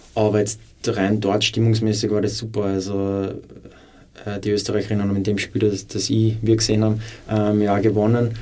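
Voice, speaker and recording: Heard with audible room echo, a man with a dark, mellow tone and fairly low pitch talks in a flat monotone, pausing long and often. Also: fairly quick pace. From Upper Austria. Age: 20s. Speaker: former footballer and teacher. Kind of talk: interview.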